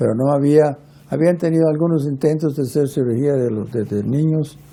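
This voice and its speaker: Over noticeable background noise, a man with a fairly high pitch talks with ordinary pitch variation. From Guatemala. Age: 80s+. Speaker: pediatric heart surgeon. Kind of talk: interview. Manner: halting, with many fillers and restarts.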